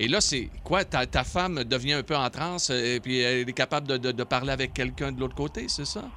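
A man's medium-pitched voice with vocal fry and a bright, sharp tone, fairly quick and hardly pausing, with ordinary pitch variation. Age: 60s. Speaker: radio host. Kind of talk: casual chat.

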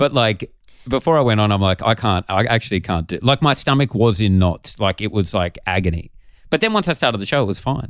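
Speaking fairly quickly with an Australian accent, a man uses a fairly low pitch and lively intonation, the sound dry and close with no echo on a very clean recording with a silent background. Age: 30s. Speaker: comedian. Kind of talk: casual chat.

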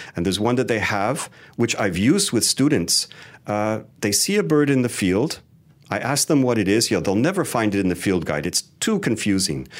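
A man with an unremarkable speaking voice, fairly low-pitched, with lively intonation at a moderate pace. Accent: Canadian. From Canada. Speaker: wildlife photographer and educator. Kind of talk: interview.

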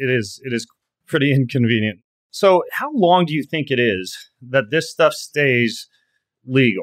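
A man talks in a normal speaking voice at a fairly high pitch. His intonation is lively and his pace fairly slow. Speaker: podcast host. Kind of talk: interview.

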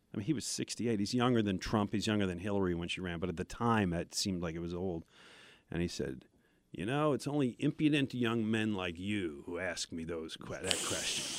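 An ordinary speaking voice from a man, fairly low in pitch, with lively intonation and a fairly quick pace, on a very clean recording with a silent background. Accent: American. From Buffalo, New York. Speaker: sports radio host and former newspaper reporter. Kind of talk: casual interview storytelling.

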